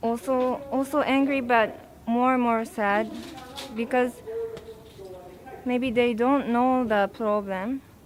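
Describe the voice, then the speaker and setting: A woman's fairly high voice with a Japanese accent, very slow pace and fairly even intonation. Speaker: protester. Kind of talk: interview. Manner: halting.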